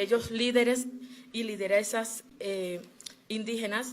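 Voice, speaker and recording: Amid noticeable background noise, the speaker talks at a fairly slow pace in a La Guajira accent, with monotone, flat intonation. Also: woman. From Colombia, Wayuu people (La Guajira). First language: Wayuunaiki (speaking Spanish). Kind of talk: formal testimony at a human rights hearing. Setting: commission hearing. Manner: formal, with frequent hesitations.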